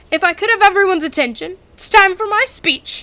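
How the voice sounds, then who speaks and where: Putting on a character voice, a woman speaks at an extremely high pitch and a fairly quick pace. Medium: read story. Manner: stiff, formal.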